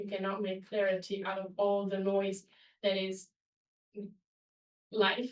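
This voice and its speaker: A woman speaks with an Italian accent. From Italy. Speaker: webinar presenter. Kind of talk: online webinar presentation. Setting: webinar.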